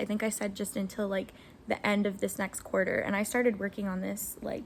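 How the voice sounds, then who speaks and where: At a fairly quick pace, this woman speaks in a somewhat breathy voice. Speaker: aspiring novelist vlogger. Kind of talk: casual vlog talk to camera. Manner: fast; energetic.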